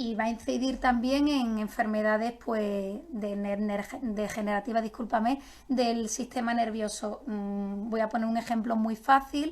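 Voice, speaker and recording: A woman speaks at a fairly slow pace with hardly any pauses. Her fairly high voice is somewhat breathy, with fairly even intonation. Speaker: nutritionist. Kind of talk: live-streamed health talk.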